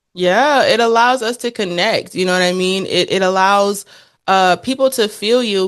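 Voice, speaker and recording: An animated woman with an American accent at a moderate pace, ordinary pitch variation and a quiet background. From US South, Beaufort, South Carolina (Gullah Geechee). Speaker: podcast co-host, branding entrepreneur. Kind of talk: casual chat.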